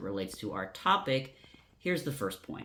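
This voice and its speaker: At a moderate pace, a man with an unremarkable speaking voice speaks with lively intonation. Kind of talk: educational talk to camera.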